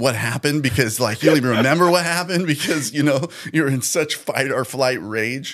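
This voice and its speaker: A man's plain, everyday voice with ordinary pitch variation at a fairly quick pace. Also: very clean recording, silent background. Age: 40s. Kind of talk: podcast interview.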